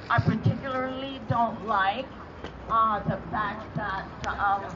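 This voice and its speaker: Music plays in the background as a woman speaks at a very slow pace, her fairly high pitch showing ordinary variation. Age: 80s+. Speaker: activist. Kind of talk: protest rally speech.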